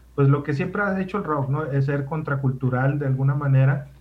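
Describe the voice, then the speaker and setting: A man's medium-pitched voice with noticeable background noise. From Mexico, Sonora (Ciudad Obregón). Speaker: radio host, guest. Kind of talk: casual chat.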